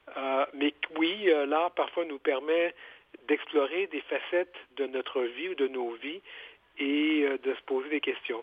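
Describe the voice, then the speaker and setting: The speaker is a man with a fairly high pitch and ordinary pitch variation. His pace is very slow, with long, frequent pauses. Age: 50s. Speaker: author and journalist. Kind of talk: interview.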